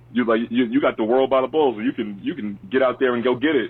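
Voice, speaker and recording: Ordinary pitch variation marks a man's medium-pitched voice as he talks at a very fast pace. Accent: New York. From Long Island, New York. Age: 30s. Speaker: historian and youth advocate. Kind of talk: interview. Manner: animated.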